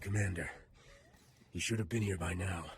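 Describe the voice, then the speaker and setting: A man's put-on character voice, raspy and very deep, at a fairly quick pace with fairly even intonation. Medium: video game. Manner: urgent, defiant.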